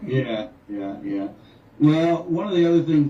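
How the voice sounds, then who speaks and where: Speaking at a fairly quick pace with an American accent, a man is heard with audible room echo. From North Carolina, US. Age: 60s. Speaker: musician. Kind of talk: radio interview.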